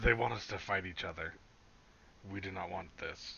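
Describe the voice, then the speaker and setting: Putting on a character voice, a man speaks raspy and fairly low at a moderate pace, with clear background noise behind him. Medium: actual play.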